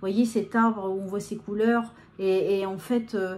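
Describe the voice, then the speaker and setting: A woman speaks at a fairly high pitch, somewhat breathy. Her intonation is monotone and flat, her pace fairly slow. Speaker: medium giving channeled messages. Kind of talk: live channeled guidance talk to viewers. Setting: filmed on camera under video lights. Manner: hesitant, many fillers and repetitions.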